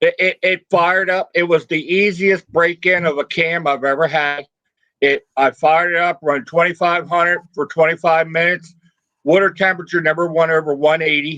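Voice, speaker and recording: A man with an American accent speaks in a high, bright, sharp voice at a moderate pace. His intonation is monotone and flat, and the sound is dry and close with no echo. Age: 60s. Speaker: car hobbyist, retired mechanic. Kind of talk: casual chat.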